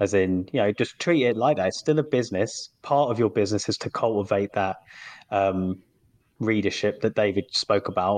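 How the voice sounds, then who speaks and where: In a British accent, a man speaks at a fairly low pitch and a moderate pace with ordinary pitch variation, on a quiet background with a dry, close sound and no echo. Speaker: indie author and podcast co-host. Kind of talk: casual chat.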